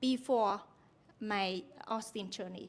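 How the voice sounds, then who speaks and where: A woman with a Vietnamese accent at a fairly slow pace. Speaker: university lecturer. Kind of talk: conference talk. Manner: halting.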